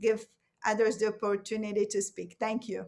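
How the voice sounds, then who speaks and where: Speaking with a non-native accent, a woman keeps her pitch fairly high. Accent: noticeable foreign. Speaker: professor. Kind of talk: panel discussion.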